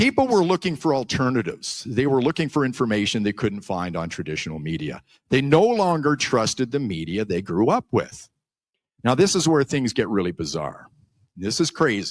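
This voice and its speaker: With vocal fry and very wide pitch swings around a medium pitch, a man talks at a moderate pace in a very clean recording with a silent background. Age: 60s. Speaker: YouTuber and former radio broadcaster. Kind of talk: conference speech.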